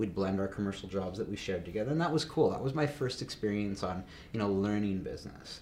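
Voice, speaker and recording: Speaking at a very fast pace, a man with a Canadian accent sounds somewhat breathy and fairly low in pitch. Audible room echo surrounds his voice. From Canada, Calgary. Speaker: business founder. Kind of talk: casual interview. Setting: studio.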